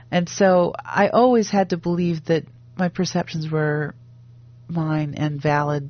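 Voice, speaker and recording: With an American accent, a woman speaks in a very deep, low pitch. Her pitch variation is ordinary. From US Midwest (Wisconsin). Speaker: fiction writer and professor. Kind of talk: interview.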